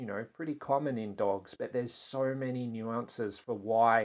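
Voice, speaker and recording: Against a quiet background, a man with an Australian accent talks at a fairly slow pace in a medium pitch with monotone, flat intonation. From Australia (Tasmania). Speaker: animal communicator. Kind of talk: interview conversation.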